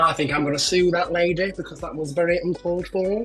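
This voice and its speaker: A man's very fast, fairly high-pitched talk with music in the background. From Doncaster, England. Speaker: drag queen. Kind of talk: interview answer. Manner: chatty, camp.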